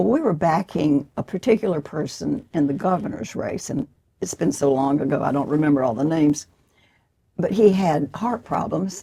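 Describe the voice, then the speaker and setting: An American-accented woman's dark, mellow, somewhat breathy voice with lively intonation at a moderate pace. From Georgia, USA. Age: 90s. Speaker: author and former political activist. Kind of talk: interview answer.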